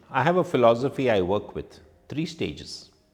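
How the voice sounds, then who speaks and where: A man in a Goan accent talks at a fairly slow pace, with very wide pitch swings. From India, Konkani-speaking family. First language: Konkani. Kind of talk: reflective testimony.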